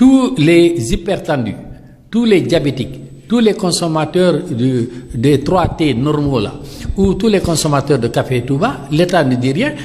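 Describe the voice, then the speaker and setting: A man with a fairly high voice speaks very slowly, his intonation lively, over noticeable background noise. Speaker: dialysis patient and activist. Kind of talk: interview. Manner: animated.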